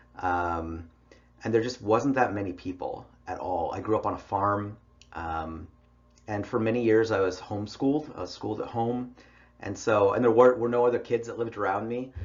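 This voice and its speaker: An unremarkable speaking voice from a man, fairly low in pitch, with ordinary pitch variation at a moderate pace. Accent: American. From US West, Idaho. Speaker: college English instructor. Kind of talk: online lecture. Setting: recorded online class with headphones. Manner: casual, conversational.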